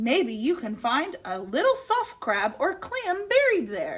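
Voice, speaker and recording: A woman uses a put-on character voice at an extremely high pitch. She talks at a fairly slow pace. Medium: read story.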